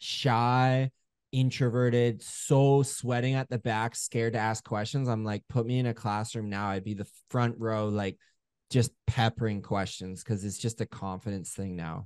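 A man's ordinary speaking voice with a Canadian accent, medium pitch, fairly even intonation and a fairly slow pace, dry and close with no echo over a quiet background. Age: 30s. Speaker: home service business owner and coach. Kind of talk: casual interview.

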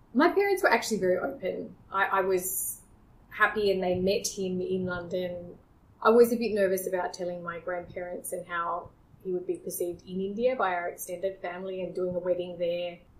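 A woman with an Australian accent speaks at a fairly quick pace with fairly even intonation. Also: medium pitch for a woman. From Australia, small town near Sydney. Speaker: podcast guest. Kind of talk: casual interview.

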